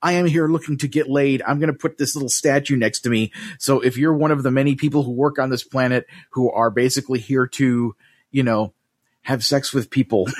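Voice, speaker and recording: With a normal speaking voice and an American accent, the speaker talks at a fairly quick pace with fairly even intonation, in a dry, close sound with no echo. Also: man, medium pitch for a man. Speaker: podcast host. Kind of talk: casual chat. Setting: video call.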